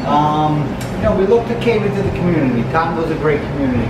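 Music plays in the background with audible room echo. A man talks at a very fast pace. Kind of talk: interview answer. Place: cafe. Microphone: phone near.

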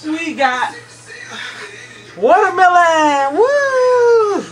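Over faint background music, a woman speaks at a very slow pace in an extremely high pitch with big pitch swings.

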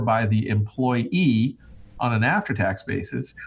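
A man speaks with a somewhat breathy voice. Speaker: financial advisor. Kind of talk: casual chat.

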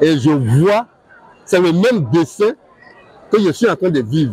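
Faint crowd noise sits behind a man whose dark, mellow tone has a slightly husky edge and big pitch swings. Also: fairly high pitch for a man, fairly slow pace.

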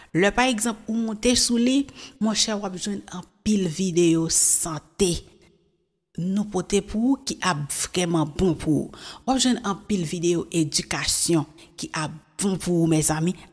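Against a quiet background, a woman speaks at a fairly slow pace and a medium pitch, somewhat breathy, with lively intonation and big swings in loudness. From Haiti. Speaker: YouTube news presenter; news presenter. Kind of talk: casual commentary. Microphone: studio mic.

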